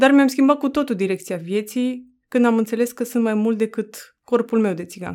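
A woman talks in a normal speaking voice, fairly high in pitch with ordinary pitch variation. Her pace is moderate, with hardly any pauses. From Romania, Roma community. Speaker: author. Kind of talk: reading aloud.

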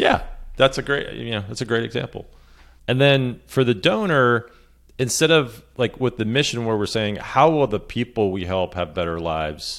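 On a very clean recording with a silent background, a man with an unremarkable speaking voice talks at medium pitch and a moderate pace, his intonation lively. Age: 40s. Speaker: messaging and storytelling consultant. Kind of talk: podcast interview.

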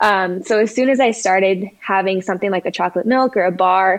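In a General American accent, a woman uses an ordinary speaking voice with a medium pitch at a fairly quick pace. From Colorado. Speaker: dietitian and professional runner. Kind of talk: interview.

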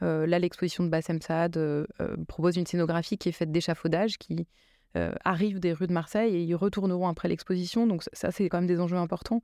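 A woman's fairly low voice at a fairly quick pace. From France, Seine-Saint-Denis (Paris suburbs), Drancy. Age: 30s. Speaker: contemporary art centre director and curator. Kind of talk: interview. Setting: radio studio. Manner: halting, with frequent hesitations and repetitions.

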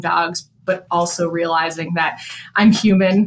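A woman's fairly low voice with an American accent, an ordinary speaking voice, and fairly even intonation. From Chicago. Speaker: veterinarian and company co-founder. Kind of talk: interview.

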